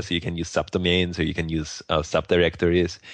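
Over a quiet background, a man speaks in a very deep, low pitch. He has a non-native accent and keeps a moderate pace. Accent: foreign-accented English. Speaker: podcast co-host and WordPress entrepreneur. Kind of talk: casual technical podcast discussion.

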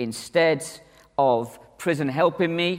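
In a very clean recording with a silent background, a man with a northern English accent speaks at a fairly high pitch. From northern England. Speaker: conference speaker, church minister. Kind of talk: conference talk. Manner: animated.

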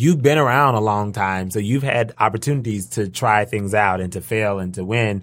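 A man talks in a fairly low pitch with ordinary pitch variation and hardly any pauses. He has a normal speaking voice, and the recording is very clean with a silent background. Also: moderate pace. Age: 30s. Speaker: school administrator. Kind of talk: casual panel conversation.

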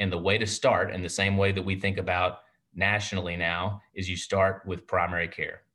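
Against a quiet background, a man with a Texan accent talks at a moderate pace, his fairly low pitch paired with a bright, sharp tone. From Texas. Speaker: primary care physician and network president. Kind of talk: interview. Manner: warm, enthusiastic.

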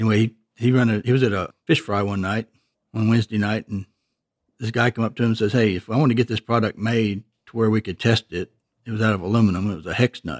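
A man with an East Texas accent talks at a very fast pace and fairly low pitch, with fairly even intonation. The recording is very clean with a silent background, and the sound is dry and close with no echo. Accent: East Texas Southern US. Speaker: retired machine shop owner. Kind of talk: interview.

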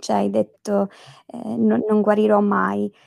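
The recording has a dry, close sound with no echo. A woman does the talking. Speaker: podcast host. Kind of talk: casual interview.

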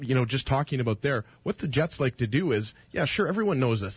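A man speaks at a very fast pace with a medium pitch. His voice is somewhat breathy, and the sound is dry and close with no echo. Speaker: radio co-host. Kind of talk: sports commentary and debate. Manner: casual, opinionated, lively.

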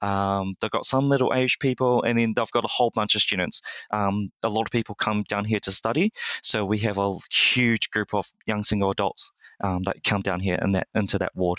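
On a very clean recording with a silent background, a man with a New Zealand accent speaks at a moderate pace, fairly low pitch and very even loudness in a bright, sharp tone. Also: fairly even intonation, dry, close sound with no echo. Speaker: church lay leader. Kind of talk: interview.

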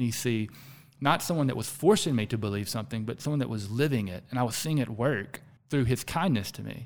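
Very fast and in an American accent, a man speaks at a medium pitch with ordinary pitch variation, on a very clean recording with a silent background. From US South. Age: 40s. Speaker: executive coach and founder. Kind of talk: casual interview conversation.

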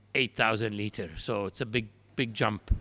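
With an Arabic accent, a man speaks at a fairly low pitch in a bright, sharp tone on a very clean recording with a silent background. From Palestine. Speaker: brewery founder. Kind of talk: interview. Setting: at a brewery.

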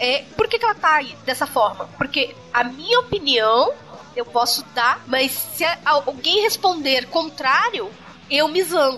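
With music in the background, a woman speaks in a raised, projected voice at high pitch and a fairly slow pace. Her pitch swings very widely while her loudness stays very even. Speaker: podcast host. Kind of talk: casual panel discussion. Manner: energetic, intense.

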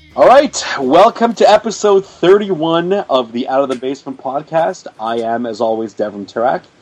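There are very wide pitch swings in this man's fairly high voice, and he leaves hardly any pauses. Background noise is noticeable. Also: moderate pace. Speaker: podcast host. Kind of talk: casual chat. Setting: Skype call.

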